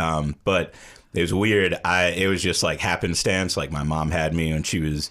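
A man with an American accent speaks in a low voice with a fairly bright tone and fairly even intonation.

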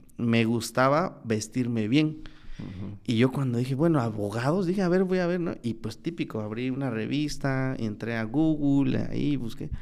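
Speaking at a moderate pace with hardly any pauses, a man uses lively intonation at a medium pitch. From Oaxaca, Mexico (Mixteca). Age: 20s. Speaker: lawyer. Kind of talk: casual interview. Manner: halting, many fillers.

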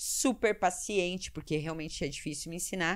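Speaking in a normal speaking voice, a woman talks at a moderate pace with medium pitch and ordinary pitch variation on a very clean recording with a silent background. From Curitiba, southern Brazil. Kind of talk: casual interview chat.

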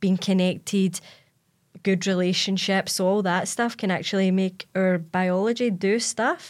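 Here a woman with a Glasgow accent talks at a medium pitch with fairly even intonation. The recording is very clean, with a silent background. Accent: Scottish (Glasgow). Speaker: podcast host and fitness coach. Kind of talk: casual interview chat. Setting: studio.

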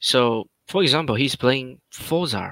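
A man with a non-native accent speaks at a very slow pace and medium pitch, with a bright, sharp tone. The sound is dry and close, with no echo. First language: not English. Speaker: gaming alliance leader. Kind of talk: casual chat. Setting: late-night online call.

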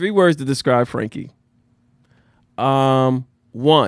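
With a New Jersey accent, a man at medium pitch speaks in an animated tone, with ordinary pitch variation and long, frequent pauses. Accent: New Jersey American. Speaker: podcast host. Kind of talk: casual chat. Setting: studio.

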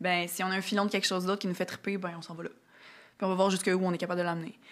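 Medium in pitch, a woman's voice moves at a fairly quick pace. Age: 30s. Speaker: singer-songwriter. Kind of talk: casual interview.

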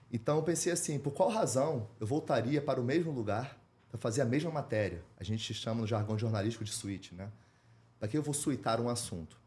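Speaking at a fairly quick pace, a man with a medium pitch and a dark, mellow tone sounds somewhat breathy, and his intonation is lively. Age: 40s. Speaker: journalist and documentary producer. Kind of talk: interview.

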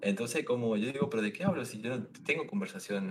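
A man's voice with very wide pitch swings, a fairly quick pace and noticeable background noise. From Misiones, Argentina. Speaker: streamer and railway worker. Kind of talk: casual chat. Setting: video call livestream.

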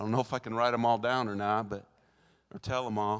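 On a very clean recording with a silent background, a man talks at a fairly quick pace in an animated tone. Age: 60s. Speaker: guest preacher. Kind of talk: sermon. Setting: church with live congregation.

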